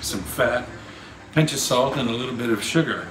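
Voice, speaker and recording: Over light background noise, a man's voice carries audible room echo. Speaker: cooking show host. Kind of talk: tutorial. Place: kitchen.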